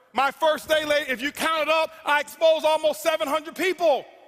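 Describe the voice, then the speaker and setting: Loud, animated, intense man at an extremely high pitch, bright and sharp in tone, moderate pace. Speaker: network marketing speaker. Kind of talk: motivational speech. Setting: stage with audience. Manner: loud, intense.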